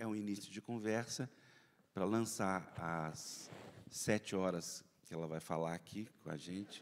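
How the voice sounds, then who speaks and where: This man talks at a fairly slow pace in a very deep, low voice, with ordinary variation in pitch. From Brazil, Belo Horizonte (Minas Gerais). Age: 60s. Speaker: journalist and panel moderator. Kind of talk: conference opening remarks. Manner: halting, many fillers.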